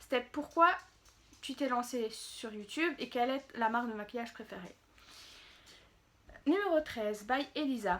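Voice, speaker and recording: The speaker is a woman who goes very slowly. Her pitch shows ordinary variation. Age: 20s. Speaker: beauty youtuber. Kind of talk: casual Q&A vlog. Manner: hesitant, many fillers.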